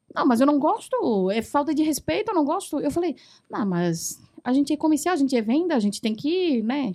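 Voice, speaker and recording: At a moderate pace, a woman speaks in a high pitch that swings very widely. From Taiwan, central island. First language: Mandarin (speaking Portuguese). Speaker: foreign trade professional. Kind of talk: casual chat.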